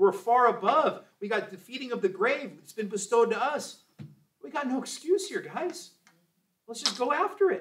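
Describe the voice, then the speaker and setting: A man speaks at a moderate pace with an extremely high pitch and very wide pitch swings. His loudness swings a lot, and there is light background noise. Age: 40s. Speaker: Sunday school teacher. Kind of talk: Bible class teaching. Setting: church. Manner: animated. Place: classroom. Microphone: camera far.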